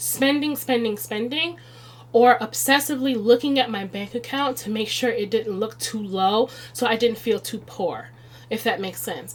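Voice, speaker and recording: Noticeable background noise sits behind the recording. A woman with an American accent talks at a moderate pace. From Chicago, US Midwest. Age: 30s. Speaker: budgeting video creator. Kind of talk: budgeting tutorial. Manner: casual, conversational.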